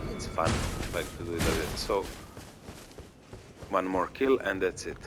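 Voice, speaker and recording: With a non-native accent, a man speaks at a moderate pace while music plays in the background and the room echo is audible. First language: not English. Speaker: gaming streamer. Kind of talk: gameplay commentary. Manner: casual, hesitant with fillers. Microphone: quiet microphone.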